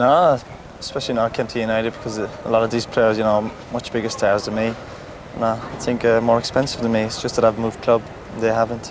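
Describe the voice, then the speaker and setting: A man with a Cork accent talks at a very fast pace and a medium pitch, in a monotone, flat intonation, with noticeable background noise. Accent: Cork Irish. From Cork, Ireland. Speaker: professional footballer. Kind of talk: TV interview answer.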